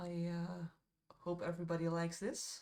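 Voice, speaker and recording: Fairly slow and fairly low in pitch, a woman speaks with a dark, mellow tone. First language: Dutch. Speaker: miniature painter streamer. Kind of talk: live stream chat while painting. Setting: live stream. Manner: casual, hesitant with fillers.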